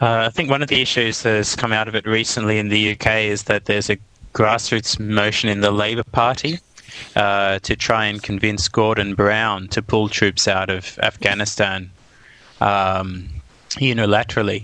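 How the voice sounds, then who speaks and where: With an Australian accent, this voice moves at a moderate pace with a bright, sharp tone, fairly even intonation, and very even loudness. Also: man, fairly low pitch for a man. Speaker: podcast guest. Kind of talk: casual chat. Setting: video call.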